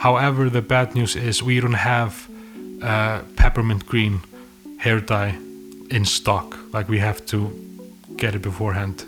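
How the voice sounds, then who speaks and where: A fairly low-pitched man with an Icelandic accent, ordinary pitch variation and long, frequent pauses, with music in the background. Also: fairly slow pace. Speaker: filmmaker. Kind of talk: casual storytelling to camera. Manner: rambling.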